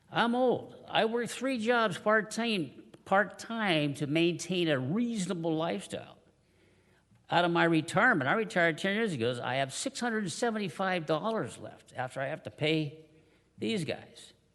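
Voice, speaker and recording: The man's voice is high in pitch, with very wide pitch swings at a moderate pace. Audible room echo surrounds it. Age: 70s. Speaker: public commenter at city council meeting. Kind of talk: public comment speech. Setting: city council chamber. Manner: halting, many fillers.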